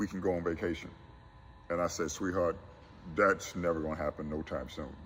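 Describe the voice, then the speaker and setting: A man with a Southern US accent speaks in a very deep, low voice over music in the background. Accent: US South. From South Carolina Low Country. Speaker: college basketball coach. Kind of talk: interview.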